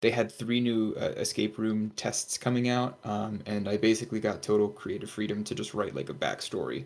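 Fairly quick speech from a man with a fairly low pitch, vocal fry, and ordinary pitch variation. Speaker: tutor. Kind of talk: casual chat.

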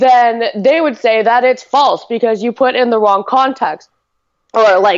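Her pitch fairly high and ordinarily varied, a woman speaks at a fairly slow pace.

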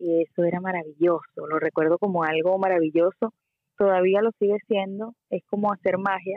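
A woman with a Venezuelan accent speaks at medium pitch. Her intonation is fairly even and her loudness very even. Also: moderate pace. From Venezuela, Puerto La Cruz. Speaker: singer-songwriter. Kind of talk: interview.

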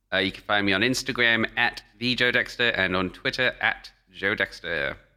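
The speaker has a London accent. The recording is very clean, with a silent background. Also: man. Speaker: gaming podcast co-host. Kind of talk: casual chat. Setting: home studio recording.

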